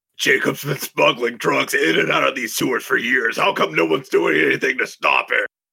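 A man in a put-on character voice talks at a moderate pace with hardly any pauses.

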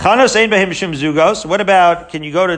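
At a moderate pace, a man with a high pitch speaks in an animated tone. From Israel. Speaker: Talmud teacher. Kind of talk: Talmud lecture.

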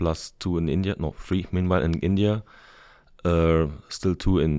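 A man with a very deep, low pitch talks at a moderate pace on a very clean recording with a silent background. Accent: German. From Germany. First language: German. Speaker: logistics manager. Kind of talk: interview.

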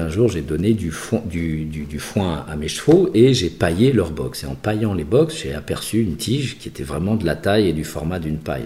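A man talks at a fairly quick pace with lively intonation. Noticeable background noise runs under his speech. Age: 50s. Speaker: designer and entrepreneur. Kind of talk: interview. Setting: artist's studio. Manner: halting.

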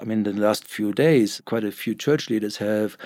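A man with a German accent, fairly low in pitch, at a fairly quick pace, in a very clean recording with a silent background. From Germany. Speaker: newspaper editor. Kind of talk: interview. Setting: in-person recording.

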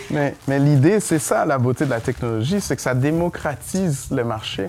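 A man speaks with a Haitian accent. His pitch sits at a medium level. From Haiti, raised in Montreal from age 8. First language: Haitian Creole (speaking French). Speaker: engineer and entrepreneur. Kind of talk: interview before live audience. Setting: bar venue with audience.

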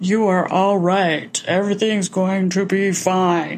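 A female-sounding, put-on character voice at medium pitch comes out loud and booming at a fairly slow pace over light background noise. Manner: reassuring but made to sound scary.

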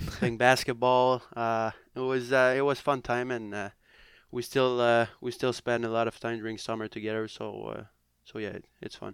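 In a very clean recording with a silent background, a man at medium pitch speaks at a moderate pace with monotone, flat intonation. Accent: Quebec. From Quebec, near Montreal. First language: French. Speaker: professional hockey player. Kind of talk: casual interview chat. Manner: halting, many fillers.

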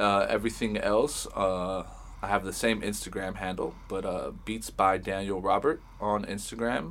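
A man with an American accent, fairly low in pitch, with vocal fry, ordinary pitch variation and a fairly slow pace, on a very clean recording with a silent background. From Los Angeles, Hollywood. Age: 30s. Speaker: music producer and engineer. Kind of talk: casual interview chat.

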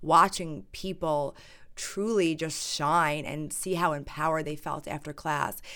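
A woman with a fairly low pitch speaks in a normal speaking voice at a moderate pace. Her pitch variation is ordinary, and the recording is very clean with a silent background. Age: 30s. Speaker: yoga teacher. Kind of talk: casual chat.

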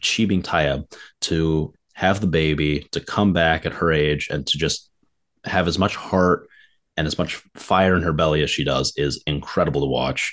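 At a fairly slow pace and with an American accent, the voice carries vocal fry and ordinary pitch variation. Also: man, very deep, low pitch for a man, quiet background. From US Midwest, Detroit suburbs. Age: young. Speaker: podcaster and squash player. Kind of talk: casual chat. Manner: animated.

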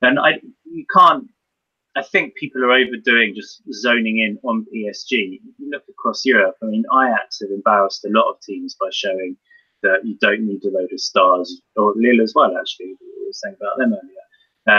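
A man with a bright, sharp tone and a slightly husky edge, ordinary pitch variation, moderate pace and a dry, close sound with no echo

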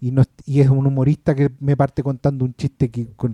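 With a Chilean accent and a dark, mellow tone, a man talks at a moderate pace in a dry, close sound with no echo. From Chile, Maipú (Santiago). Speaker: film podcast panelist. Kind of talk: casual chat.

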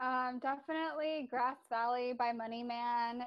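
A woman with an American accent speaks at a high pitch using fairly even intonation. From Bakersfield, California. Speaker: graduate student. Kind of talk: interview.

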